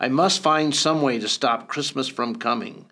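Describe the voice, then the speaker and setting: A man puts on a growling character voice at a fairly high pitch. He keeps a moderate pace. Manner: growling, scheming.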